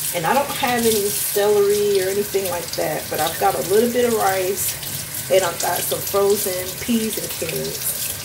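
A woman at a moderate pace, ordinary pitch variation, noticeable background noise. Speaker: vlogger. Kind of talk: casual vlog chat. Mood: storytelling, animated.

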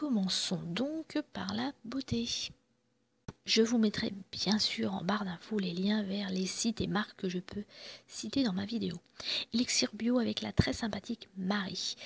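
A woman speaks at a moderate pace with medium pitch and ordinary pitch variation. Her voice has vocal fry and a husky, rough edge.

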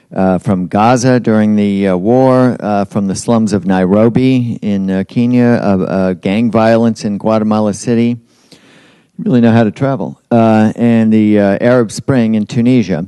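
Against a quiet background, a man's fairly low voice has a dark, mellow tone and a dry sound with no echo. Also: fairly even intonation, fairly slow pace. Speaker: event host introducing a guest. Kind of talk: speaker introduction at a public event. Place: hall. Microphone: handheld.

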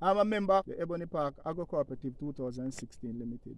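A man's voice with ordinary pitch variation, in a dry sound with no echo. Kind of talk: interview answer.

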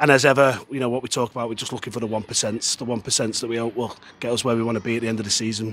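Talking at a very fast pace, a man with a medium pitch and little pitch movement has a fairly bright tone and a slightly husky edge.

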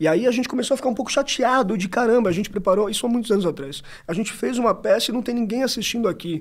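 Against a quiet background, a high-pitched man talks at a very fast pace with ordinary pitch variation. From São Paulo, Brazil. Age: 20s. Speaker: actor. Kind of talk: casual chat. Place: studio. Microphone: studio mic.

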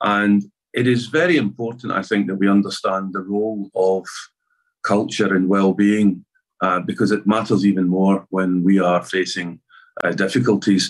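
Against a quiet background, a man with a Scottish accent and a fairly low pitch speaks at a moderate pace with fairly even intonation. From Scotland. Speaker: arts festival chair. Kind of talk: conference talk. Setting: video call. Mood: serious, measured. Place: home room. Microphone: webcam.

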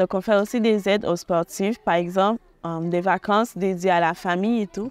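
In a dry recording with no echo, a woman talks at a fairly slow pace, with medium pitch and ordinary pitch variation. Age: 20s. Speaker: student volunteer at a charity. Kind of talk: testimony. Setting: holiday centre on location. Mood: calm, warm. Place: open country.

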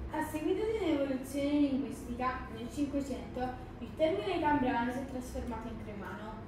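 Amid noticeable background noise and strong room echo, a high-pitched woman talks at a fairly quick pace with hardly any pauses and big swings in loudness. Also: ordinary pitch variation. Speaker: presenter. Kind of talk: presentation to a class. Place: classroom. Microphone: camera far.

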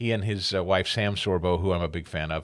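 With a quiet background, a man speaks at a moderate pace. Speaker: radio talk show host. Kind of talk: talk radio show opening monologue. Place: studio. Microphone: studio mic.

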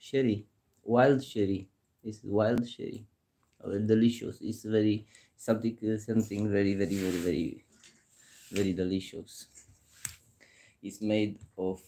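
A man with a fairly low pitch and a dark, mellow tone speaks at a moderate pace, with fairly even intonation, long and frequent pauses, and light background noise. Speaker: home vlogger. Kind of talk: casual vlog chat. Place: kitchen.

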